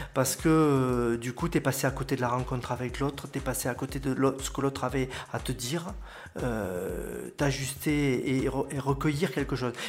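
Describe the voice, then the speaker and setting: Vocal fry runs through a man's medium-pitched voice. He keeps fairly even intonation at a moderate pace. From southern France, Aude. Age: 40s. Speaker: local web TV presenter and butcher. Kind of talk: interview.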